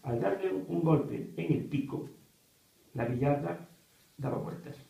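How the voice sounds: A man with vocal fry and a dark, mellow tone speaks at a fairly slow pace amid strong room echo.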